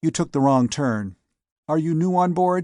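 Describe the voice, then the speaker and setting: Putting on a character voice, a man speaks at a moderate pace and a fairly high pitch with lively intonation and very even loudness over a quiet background. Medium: read story.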